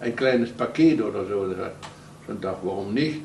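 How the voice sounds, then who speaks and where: A man's voice carries audible room echo, with light background noise behind it. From Netherlands. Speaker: concentration camp survivor, eyewitness. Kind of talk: interview answer. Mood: earnest, recounting wartime memories.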